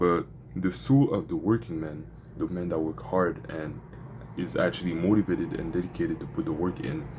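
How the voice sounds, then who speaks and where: Very deep, low male voice in a French accent at a fairly quick pace. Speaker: vlogger documenting a business journey. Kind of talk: casual vlog with Bible reading. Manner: halting, self-correcting.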